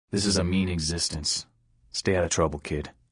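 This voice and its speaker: A put-on character voice at a fairly quick pace over a quiet background. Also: man, very deep, low pitch for a man. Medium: video game. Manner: blunt, gruff.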